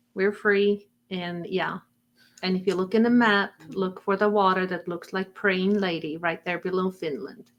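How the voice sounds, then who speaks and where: Fairly even intonation marks a woman speaking with an Estonian accent. She talks at a moderate pace. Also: medium pitch for a woman. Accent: Estonian accent, noticeable. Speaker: insurance agent. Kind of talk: live-streamed interview chat.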